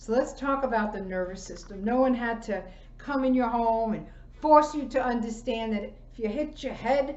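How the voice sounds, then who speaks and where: Audible room echo around a woman's high-pitched voice with ordinary pitch variation. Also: moderate pace. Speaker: chiropractor giving a wellness class. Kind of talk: online presentation, lecture.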